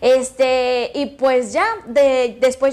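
Over noticeable background noise, a woman with a high pitch speaks in a Mexican accent. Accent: marked regional Mexican. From Mexico, Michoacán (Jacona). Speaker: content creator. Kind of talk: interview.

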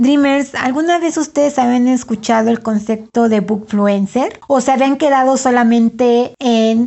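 A woman with a central Mexican accent talks at a fairly slow pace in a high pitch, with ordinary pitch variation, very even loudness and hardly any pauses. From Mexico, Puebla. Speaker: podcast host, book blogger. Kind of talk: casual solo podcast monologue.

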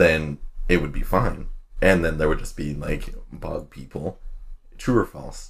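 A man's very deep, low voice, somewhat breathy, fairly slow, with big swings in loudness. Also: ordinary pitch variation. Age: 20s. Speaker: podcast co-host. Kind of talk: casual chat.

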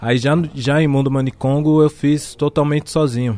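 A man uses a normal speaking voice at medium pitch. His pace is moderate and his intonation fairly even. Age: 30s. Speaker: rapper. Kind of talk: casual chat.

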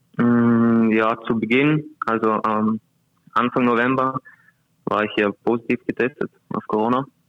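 Fairly slow, monotone delivery from a man at medium pitch, with very even loudness, long, frequent pauses and music in the background. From Vorarlberg, Austria. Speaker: handball player. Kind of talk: interview.

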